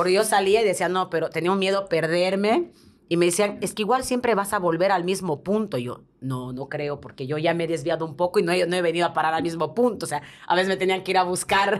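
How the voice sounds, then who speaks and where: A woman speaks at a very fast pace. Her pitch is fairly low, with ordinary variation. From Bolivia (La Paz); Bolivia. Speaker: TV presenter and advertising producer; podcast guest. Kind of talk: interview. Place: studio. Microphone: studio mic.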